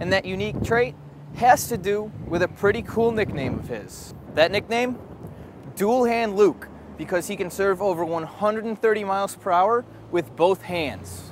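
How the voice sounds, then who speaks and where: Moderate pace from a high-pitched man with ordinary pitch variation, plus noticeable background noise. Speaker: student TV news reporter. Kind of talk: TV news report.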